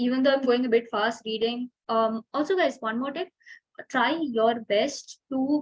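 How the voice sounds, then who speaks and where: A woman speaks at a high pitch with ordinary pitch variation, and the sound is dry and close with no echo. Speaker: student tutor. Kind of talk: tutorial. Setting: video call. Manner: fast; hesitant, many fillers.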